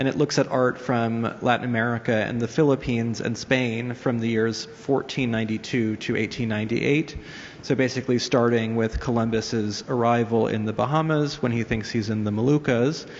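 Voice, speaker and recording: Noticeable background noise plays under a man who speaks fairly quickly with fairly even intonation. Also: medium pitch for a man. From US, New York. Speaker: art museum curator. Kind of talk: panel presentation with slides. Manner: hesitant, many fillers.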